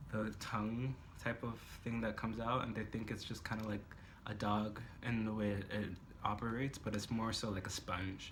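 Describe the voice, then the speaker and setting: A man's fairly low, monotone voice with flat intonation, audible room echo and noticeable background noise. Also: moderate pace. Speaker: book reviewer. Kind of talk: casual chat. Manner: hesitant, many fillers.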